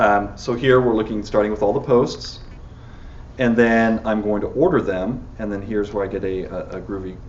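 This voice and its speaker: In a room with audible echo, a man talks at a fairly low pitch with fairly even intonation. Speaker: software engineer giving a tech talk. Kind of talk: technical talk with live demo. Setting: meetup talk with live audience. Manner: fast; halting, many fillers.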